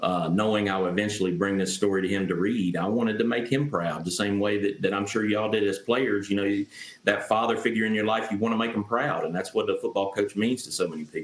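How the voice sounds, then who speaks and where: The speaker talks very fast in a Southern Appalachian accent with fairly even intonation. There are hardly any pauses. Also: man, fairly low pitch for a man. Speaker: author. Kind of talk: interview.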